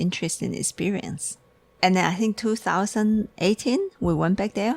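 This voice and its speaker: A woman speaks with a Chinese accent and vocal fry. The sound is dry and close, with no echo. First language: Mandarin Chinese. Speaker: tea shop owner. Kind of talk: casual chat. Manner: halting.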